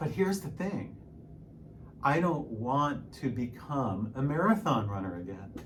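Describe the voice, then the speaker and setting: A man speaks with very wide pitch swings. Audible room echo and noticeable background noise surround him. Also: medium pitch for a man, fairly slow pace. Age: 60s. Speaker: piano teacher and fitness vlogger. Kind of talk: casual vlog monologue. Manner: hesitant, repeats words.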